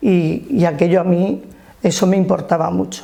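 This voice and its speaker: With fairly even intonation, this is an ordinary speaking voice. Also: woman. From Alicante province, Spain (Alto Vinalopó, rural). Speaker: trade unionist. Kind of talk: life-story interview.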